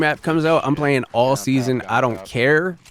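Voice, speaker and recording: Speech at a moderate pace with ordinary pitch variation sits over noticeable background noise. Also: man. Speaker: gaming streamer. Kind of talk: casual gameplay commentary. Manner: casual, filler-heavy.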